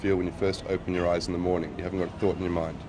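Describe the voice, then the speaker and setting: This man speaks with an Australian accent. Background noise is noticeable behind him. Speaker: interviewee with bipolar disorder. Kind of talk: documentary interview. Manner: fast; halting.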